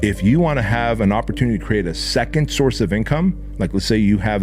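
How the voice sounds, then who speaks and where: A man talks at a very fast pace in an animated tone. Music plays in the background, and room echo can be heard. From Armenia, moved to the US as a child. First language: Armenian. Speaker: entrepreneur and business coach. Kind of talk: motivational talk. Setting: podcast.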